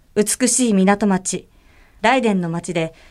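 Here is a woman with an unremarkable speaking voice, pitched at a medium level. Her intonation is lively, and the recording is very clean, with a silent background. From Tokyo, Japan. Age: 20s. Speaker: idol singer. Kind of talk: reading aloud.

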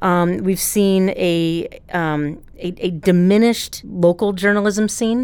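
A woman speaks in a normal speaking voice at a medium pitch with ordinary pitch variation. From Ohio, US Midwest. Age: 40s. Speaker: journalism professor. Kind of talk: interview.

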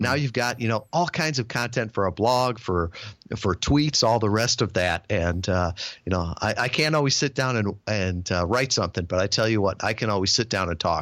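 On a very clean recording with a silent background, a man uses an unremarkable speaking voice, fairly low in pitch and very even in loudness. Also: lively intonation, moderate pace. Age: 50s. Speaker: podcast booking business founder. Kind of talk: interview.

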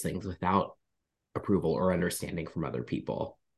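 A man speaks at a fairly quick pace with vocal fry and ordinary pitch variation. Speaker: spiritual medium and minister. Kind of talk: casual interview conversation.

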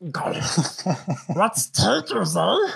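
A man puts on a character voice. It is raspy and fairly high in pitch. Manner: creepy, goofy.

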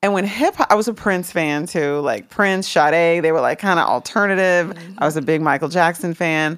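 Recorded very cleanly against a silent background, a woman with an American accent speaks in a normal speaking voice, fairly low in pitch with ordinary pitch variation, at a fairly quick pace with hardly any pauses. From Washington DC. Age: 50s. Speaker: former music executive. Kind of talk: interview.

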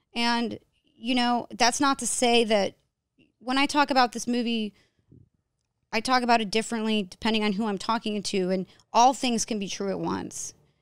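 Speaking at a moderate pace, a woman with a plain, everyday voice and an American accent keeps a fairly even intonation at a fairly high pitch in a very clean recording with a silent background. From New York. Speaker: documentary filmmaker. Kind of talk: casual chat.

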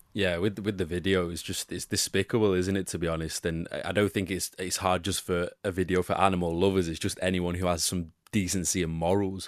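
Speaking in an English accent, a man with a very deep, low pitch talks at a fairly quick pace with hardly any pauses and monotone, flat intonation over a quiet background. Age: 20s. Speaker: football pundit. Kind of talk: casual chat.

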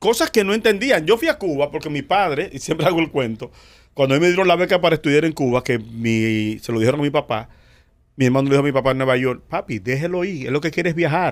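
A man speaks very fast with lively intonation and a fairly high pitch. The recording is very clean, with a silent background. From Dominican Republic. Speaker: comedian and radio personality. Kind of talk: casual chat. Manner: animated.

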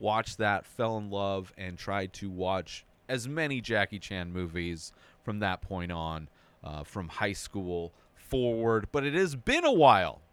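An unremarkable speaking voice from a man, fairly low-pitched, with ordinary pitch variation and a fairly slow pace. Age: 40s. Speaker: film review podcast host. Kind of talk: solo movie review monologue. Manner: casual, with frequent filler words.

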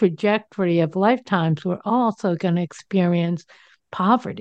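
An unremarkable speaking voice with an American accent goes at a fairly slow pace with ordinary pitch variation, in a dry, close sound with no echo and a quiet background. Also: woman. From New Jersey. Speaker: radio talk show host. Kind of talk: casual interview chat.

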